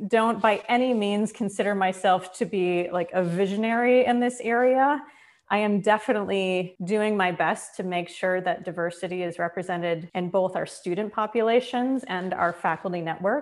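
A woman with an American accent and an unremarkable speaking voice talks at a moderate pace and medium pitch, with ordinary pitch variation, on a very clean recording with a silent background. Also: hardly any pauses. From Minnesota, rural US Midwest. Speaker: arts administrator and former opera singer. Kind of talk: interview conversation.

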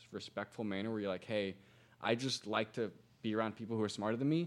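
Talking at a very fast pace, a man with a Midwestern American accent holds a medium pitch and fairly even intonation. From Indiana, US Midwest. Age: 20s. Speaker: digital marketer and entrepreneur. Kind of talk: podcast interview. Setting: studio.

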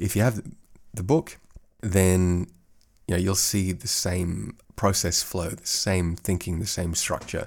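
Somewhat breathy, relaxed tone at a moderate pace, in a very clean recording with a silent background. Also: man. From Australia. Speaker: podcast host and course creator. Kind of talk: casual solo podcast chat. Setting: home office studio. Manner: meandering, relaxed.

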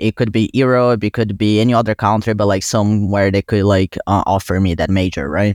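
A man with a fairly low pitch talks at a fairly quick pace with hardly any pauses and very even loudness, on a very clean recording with a silent background and a dry, close sound with no echo. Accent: Brazilian. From Brazil. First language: Portuguese. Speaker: college student and intern. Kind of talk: casual interview conversation.

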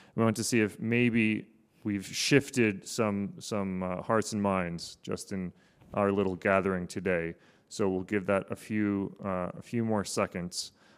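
In an American accent, a plain, everyday voice talks at a fairly slow pace with fairly even intonation on a very clean recording with a silent background. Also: man, fairly low pitch for a man. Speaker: policy researcher. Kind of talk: panel discussion with slide presentation.

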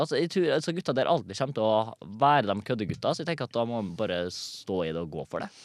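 Speaking very fast with hardly any pauses, a man swings his pitch very widely. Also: medium pitch for a man, quiet background. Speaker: comedian and TikTok creator. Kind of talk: casual chat.

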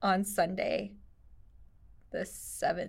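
A woman's robotic, put-on character voice at a medium pitch. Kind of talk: flat, mechanical. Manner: very slow, robotic.

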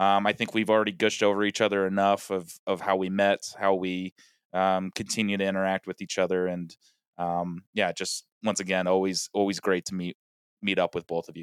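In an American accent, a man speaks with a very deep, low pitch and monotone, flat intonation at a fairly quick pace, the sound dry and close with no echo. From US West (Colorado). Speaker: podcast guest, former radio broadcaster. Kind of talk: casual chat. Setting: remote call from parents' basement. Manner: confident, authoritative.

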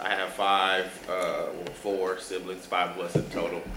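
There is noticeable background noise and audible room echo. Through it, a man talks with an American accent. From Milwaukee, Wisconsin. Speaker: nonprofit education director. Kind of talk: interview.

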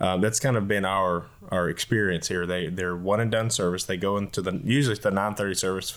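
This man speaks fairly quickly with a Southern US accent, fairly low in pitch. The recording is very clean, with a silent background. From Leesville, Louisiana. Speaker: associate pastor. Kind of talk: casual discussion.

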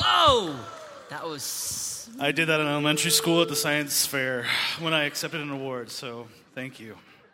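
Speaking at a moderate pace with an American accent, a man with a fairly high pitch shows ordinary pitch variation and big swings in loudness, amid audible room echo and noticeable background noise. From Colorado, US. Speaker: ministry conference organizer and school dean. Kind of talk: speech to youth audience.

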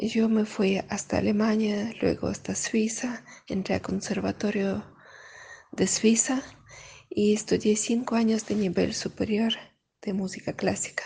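A woman with a fairly high, dark, mellow voice and vocal fry speaks at a fairly slow pace with fairly even intonation. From Russia (Caucasus), raised from age 7 in Kyiv, Ukraine. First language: Russian (speaking Spanish). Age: 40s. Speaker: violinist. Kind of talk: interview testimony.

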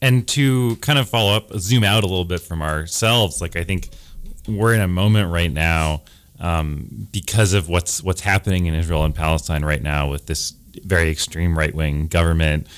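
With lively intonation, a man with a very deep, low pitch speaks at a moderate pace. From Providence, Rhode Island. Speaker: documentary filmmaker. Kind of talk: radio interview. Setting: radio studio.

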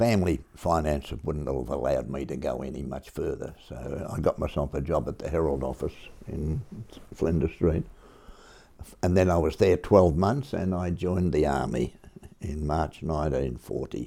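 An Australian accent, a dark, mellow tone with vocal fry, at a moderate pace. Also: man, very deep, low pitch for a man, ordinary pitch variation. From Melbourne, Australia. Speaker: war veteran and school parent. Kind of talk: oral history interview. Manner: halting.

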